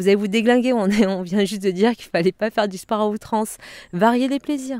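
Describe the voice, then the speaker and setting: A voice with a Provençal accent comes through a very clean recording with a silent background and a dry, close sound with no echo. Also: woman. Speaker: shiatsu practitioner, karate and yoga teacher. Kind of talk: interview. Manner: animated, conversational.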